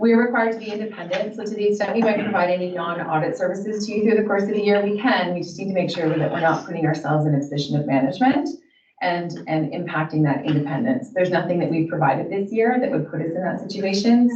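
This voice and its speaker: Over noticeable background noise and audible room echo, a woman speaks very fast with lively intonation. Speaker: auditor. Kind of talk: formal presentation. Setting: council meeting.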